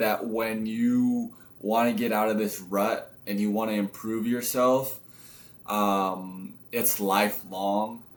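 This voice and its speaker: Audible room echo surrounds a man with a medium pitch who speaks very slowly in a flat monotone. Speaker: motivational vlogger. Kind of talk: motivational monologue. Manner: casual, filler-heavy.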